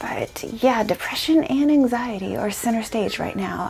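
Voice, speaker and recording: Ordinary pitch variation at a moderate pace against noticeable background noise. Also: woman. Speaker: lifestyle vlogger. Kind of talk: casual vlog talk to camera. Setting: at home, talking to camera. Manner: soft-spoken.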